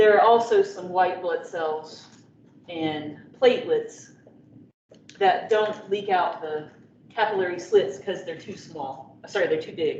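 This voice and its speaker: There is audible room echo around a woman whose pitch varies in an ordinary way. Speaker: biology professor. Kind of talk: lecture.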